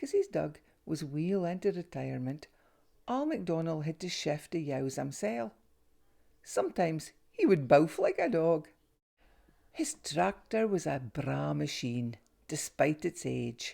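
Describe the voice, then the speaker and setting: A woman with a Northeast Scottish accent speaks with long, frequent pauses on a very clean recording with a silent background. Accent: North-East Scots (Doric). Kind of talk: children's story reading.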